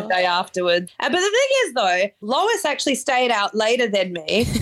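A woman with an Australian accent talks at a moderate pace, her pitch varying in an ordinary way over noticeable background noise. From Perth, Western Australia. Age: 30s. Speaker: guitarist in a band. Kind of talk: casual chat.

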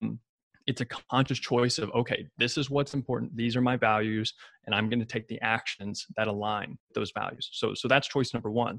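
With a Kentucky accent, a man speaks fairly quickly at a medium pitch and with fairly even intonation, recorded very cleanly against a silent background in a dry, close sound with no echo. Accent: Kentucky Southern American. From US South, Ashland, Kentucky. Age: 20s. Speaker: fitness coach and dietitian. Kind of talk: casual chat.

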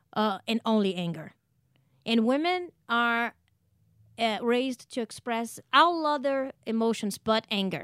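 Speaking with a Portuguese accent, a woman uses a fairly high pitch and lively intonation at a fairly slow pace, in a dry, close sound with no echo on a very clean recording with a silent background. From Brazil. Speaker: stand-up comedian. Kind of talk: casual interview, storytelling.

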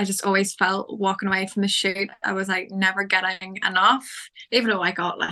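The voice has an Irish accent, a bright, sharp tone and monotone, flat intonation. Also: woman. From Ireland. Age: 20s. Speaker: fitness photographer. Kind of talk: casual interview.

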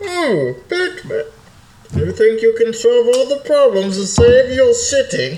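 The pitch is fairly high in this put-on character voice. The pace stays fairly slow. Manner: menacing, mocking.

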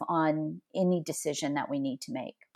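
This woman talks with a Texan accent and fairly even intonation. The recording is very clean, with a silent background. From Southeast Texas, near Louisiana. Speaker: human resources executive. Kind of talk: interview conversation.

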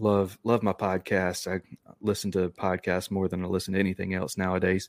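A man with a Southern US accent talks in a very deep, low voice with monotone, flat intonation. The sound is dry and close with no echo, on a very clean recording with a silent background. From North Carolina, near Charlotte. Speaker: podcaster. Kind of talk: casual chat.

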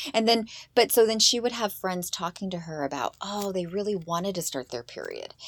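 A woman with an ordinary speaking voice talks at a fairly quick pace and medium pitch, her intonation lively, in a very clean recording with a silent background. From eastern Washington State, US. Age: 40s. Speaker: mother of two daughters, podcast guest. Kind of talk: casual chat.

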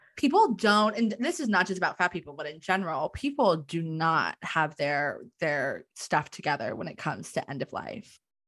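A woman with a plain, everyday voice, fairly low in pitch, talks at a moderate pace with lively intonation and hardly any pauses in a very clean recording with a silent background. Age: 20s. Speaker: theologian and death worker, graduate student. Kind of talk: interview, casual chat.

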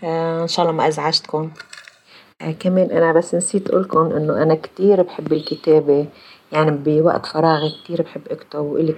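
Over noticeable background noise, a woman talks with a very deep, low pitch. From Lebanon, Palestinian refugee community from Jaffa. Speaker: former administrator and writer. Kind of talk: personal testimony in interview.

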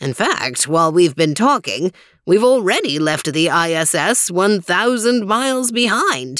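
In a put-on character voice at a middle pitch, the speaker sounds cheerful. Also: fairly slow pace. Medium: read story. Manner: cheerful, grandfatherly lecturing.

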